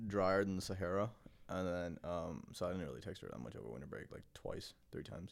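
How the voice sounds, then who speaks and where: A man's very deep, low voice at a moderate pace. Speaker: podcast co-host. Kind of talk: casual chat.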